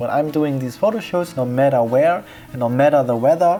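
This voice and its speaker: A man's voice shows ordinary pitch variation while music plays in the background. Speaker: photographer. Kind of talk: tutorial. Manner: calm.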